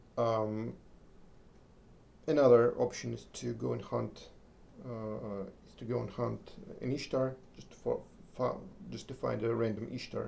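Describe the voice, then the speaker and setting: A man speaks at a fairly slow pace, leaving long, frequent pauses. His loudness swings widely. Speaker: gaming streamer. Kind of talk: live gameplay commentary. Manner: halting.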